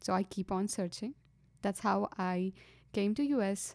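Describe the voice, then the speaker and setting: In an Indian accent, a woman speaks with a dark, mellow tone. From India, Karnataka. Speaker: engineering student. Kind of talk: testimony. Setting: studio. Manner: halting.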